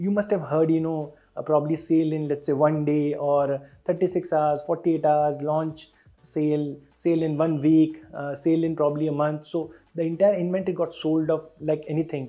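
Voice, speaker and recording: With monotone, flat intonation, a man delivers his words at a moderate pace. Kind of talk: explanatory commentary to camera. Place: office. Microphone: lapel.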